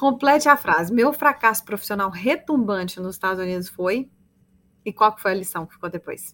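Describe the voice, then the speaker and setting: A woman at a medium pitch with lively intonation, a bright, sharp tone and big swings in loudness, at a moderate pace, on a very clean recording with a silent background. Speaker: podcast host. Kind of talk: interview.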